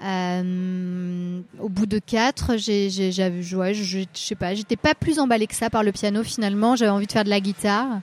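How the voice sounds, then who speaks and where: Speaking at a fairly slow pace with fairly even intonation, a woman's medium-pitched voice sounds dry and close, with no echo. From Brittany, Rennes area. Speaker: singer. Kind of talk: interview. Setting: café. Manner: halting.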